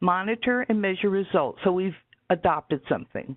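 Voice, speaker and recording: A woman's fairly low voice at a moderate pace, a plain, everyday voice. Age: 60s. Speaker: webinar presenter. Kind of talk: lecture. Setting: webinar.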